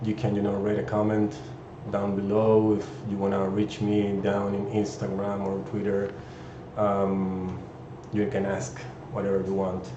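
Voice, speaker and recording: With a Chilean Spanish accent, the speaker goes at a fairly slow pace with long, frequent pauses and fairly even intonation, over audible room echo and noticeable background noise. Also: man, fairly low pitch for a man. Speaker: 3D artist. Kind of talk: live stream introduction. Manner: halting, many fillers.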